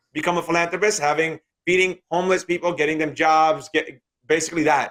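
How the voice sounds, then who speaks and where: This man has a New York accent and a fairly high pitch. His tone is bright and sharp, and he talks at a fairly quick pace. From New York, Queens. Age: 30s. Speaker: day trader and trading teacher. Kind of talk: interview.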